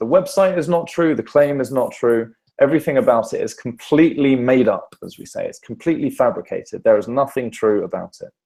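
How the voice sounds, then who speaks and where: At a fairly quick pace, a man is talking. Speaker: journalist teaching an online course. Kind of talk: online lecture. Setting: online session. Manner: fast.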